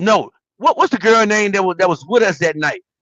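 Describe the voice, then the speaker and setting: This man speaks with a high-pitched voice. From US South, Richmond. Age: 30s. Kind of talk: casual chat.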